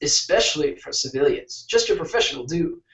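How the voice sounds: The clip features a natural reading voice. It is read aloud.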